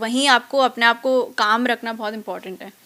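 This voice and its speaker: With a bright, sharp tone, a woman speaks at a moderate pace. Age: young. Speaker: actress. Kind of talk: interview answer.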